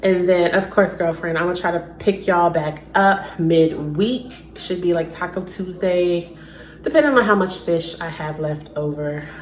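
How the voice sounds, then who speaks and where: Amid noticeable background noise and audible room echo, a woman with an American accent speaks at a moderate pace in a fairly low pitch with ordinary pitch variation. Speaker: lifestyle vlogger. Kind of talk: casual vlog talk to camera. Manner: quiet, toned down; chatty, filler-heavy.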